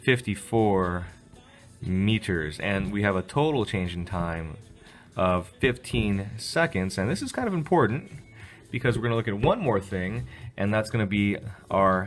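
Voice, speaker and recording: Music plays behind a man. His pitch is fairly low. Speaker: physics teacher. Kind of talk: tutorial. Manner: fast.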